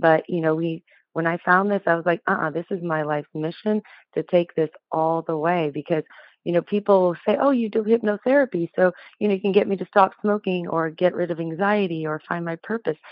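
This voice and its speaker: A woman's unremarkable speaking voice, fairly low in pitch with ordinary pitch variation, at a fairly quick pace. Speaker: hypnotherapist. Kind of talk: podcast interview.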